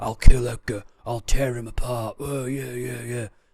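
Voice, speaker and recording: A man puts on a gravelly character voice in a northern accent, at medium pitch and a moderate pace. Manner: threatening, intense.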